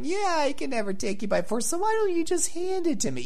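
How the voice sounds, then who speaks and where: A put-on character voice at a very fast pace over noticeable background noise. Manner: scheming, sly.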